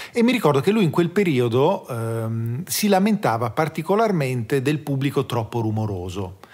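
On a very clean recording with a silent background, a somewhat breathy man with a fairly high pitch talks at a moderate pace, with very wide pitch swings and hardly any pauses. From South Tyrol, Italy. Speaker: drummer. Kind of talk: casual chat.

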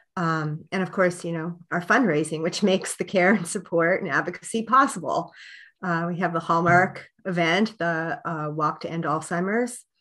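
A woman with a bright, sharp tone and a fairly low pitch speaks at a moderate pace with ordinary pitch variation against a quiet background. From Pennsylvania. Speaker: nonprofit program director; guest. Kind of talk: interview. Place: home room. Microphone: webcam.

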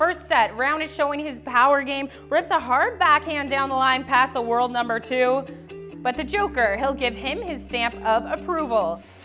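Over music in the background, a woman with a high pitch uses a raised, projected voice, lively intonation and a moderate pace. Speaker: sports host, anchor, reporter. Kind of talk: sports news anchor read.

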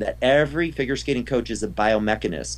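The man rushes through his words at a very fast pace. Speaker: figure skating coach. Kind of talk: interview. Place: home room. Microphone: video call.

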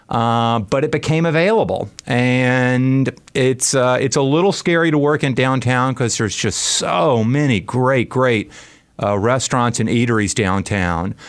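In a normal speaking voice, a man with an American accent talks at a fairly slow pace, medium in pitch with ordinary pitch variation and very even loudness. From US South, Birmingham, Alabama. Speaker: restaurant owner. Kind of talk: radio interview. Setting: radio studio.

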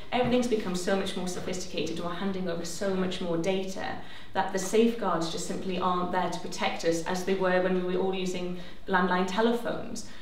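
A woman's medium-pitched voice at a very fast pace, with audible room echo and light background noise. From northern England, County Durham. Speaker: civil liberties campaigner. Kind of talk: panel debate. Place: hall.

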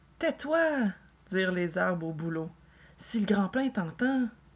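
A woman with a Quebec accent speaks fairly slowly in a fairly low voice. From Quebec, Canada. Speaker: storyteller. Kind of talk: children's tale reading. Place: home room. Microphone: webcam.

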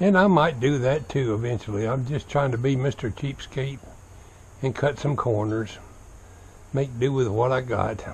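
A man at medium pitch with a Southern US accent, moderate pace, ordinary pitch variation, and light background noise. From US South, Florida. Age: 70s. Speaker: vlogger. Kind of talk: casual vlog monologue. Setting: outdoors. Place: garden. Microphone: phone near.

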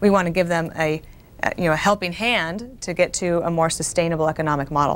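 Speaking at a very fast pace, a woman keeps an ordinary range of pitch variation. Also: fairly low pitch for a woman. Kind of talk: TV interview answer, call-in show. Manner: soft-spoken, calm. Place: studio. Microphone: lapel.

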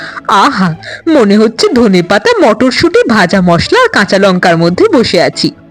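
This is plain reading aloud. The text is simply read out.

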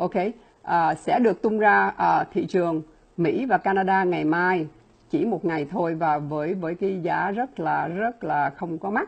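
A woman talks at a fairly low pitch with vocal fry. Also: ordinary pitch variation. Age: 60s. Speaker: laboratory scientist and supplement distributor. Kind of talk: product presentation. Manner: fast talker; filler-heavy, halting. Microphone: earbuds.

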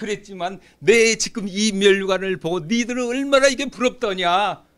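A man with a high pitch, a bright, sharp tone and lively intonation, against a quiet background. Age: 60s. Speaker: preacher. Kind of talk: sermon. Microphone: podium.

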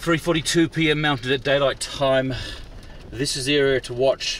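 A man talks at a moderate pace. His tone is fairly bright.

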